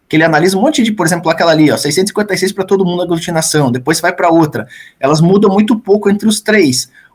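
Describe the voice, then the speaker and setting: A man's high voice at a very fast pace, with very even loudness and ordinary pitch variation. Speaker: thesis examiner professor. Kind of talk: thesis defense questioning. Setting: university thesis defense.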